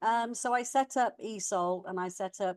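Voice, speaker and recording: Recorded with a dry, close sound with no echo against a quiet background, a woman speaks in an English Midlands accent with ordinary pitch variation. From England, Warwickshire (Leamington). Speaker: education coach, former college manager. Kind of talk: interview. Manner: hesitant, many fillers.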